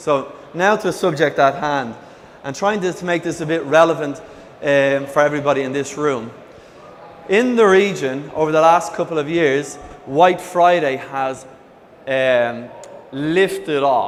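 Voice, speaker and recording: A man with an Irish accent and a fairly high pitch talks at a fairly slow pace with long, frequent pauses and ordinary pitch variation, over noticeable background noise and audible room echo. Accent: Irish lilt. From Ireland. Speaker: e-commerce executive, conference speaker. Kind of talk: conference presentation. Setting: stage with audience. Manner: energetic, hyperactive.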